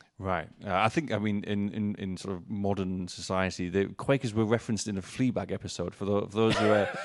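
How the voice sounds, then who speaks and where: With a northern English accent, a man talks at a fairly quick pace with hardly any pauses, his pitch fairly low and his intonation fairly even. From northern England. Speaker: podcast host. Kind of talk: podcast conversation. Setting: pub. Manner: halting.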